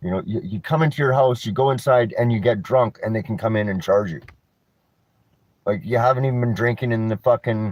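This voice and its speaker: At a fairly quick pace, a man with a western Canadian accent talks at a medium pitch with ordinary pitch variation. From Canada, North Vancouver. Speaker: vlogger, cannabis reviewer. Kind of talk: casual rant vlog. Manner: mumbling when mellow; halting, many restarts.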